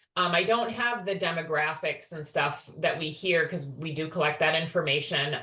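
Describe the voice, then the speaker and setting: A woman's bright, sharp tone at a fairly low pitch, with audible room echo. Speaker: education department staff presenter. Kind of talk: webinar presentation.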